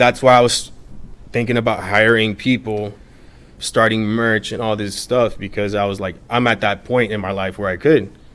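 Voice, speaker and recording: With an American accent, an ordinary speaking voice moves at a moderate pace with fairly even intonation. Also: man, fairly low pitch for a man. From Miami, Florida. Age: 30s. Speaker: social media page owner. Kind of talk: casual interview. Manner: casual, filler-heavy.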